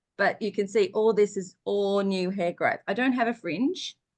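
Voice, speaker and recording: In a quiet background, a woman with an ordinary speaking voice talks at a fairly slow pace and a medium pitch. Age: 60s. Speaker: essential oils user. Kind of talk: casual chat.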